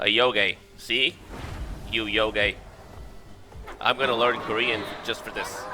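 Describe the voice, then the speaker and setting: A man at a very slow pace, fairly even intonation and long, frequent pauses, over noticeable background noise. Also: medium pitch for a man. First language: not English. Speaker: gaming YouTuber. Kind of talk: let's play commentary. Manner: casual, hesitant with fillers.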